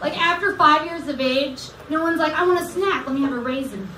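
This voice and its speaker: Over noticeable background noise, a woman speaks fairly quickly in a raised, projected voice with ordinary pitch variation. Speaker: comedian. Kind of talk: casual chat. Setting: stage with audience. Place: stage.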